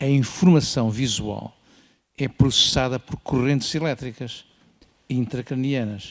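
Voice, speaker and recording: This is a man talking. His voice sits at a medium pitch. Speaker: ophthalmologist. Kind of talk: conference panel remarks. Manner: assertive.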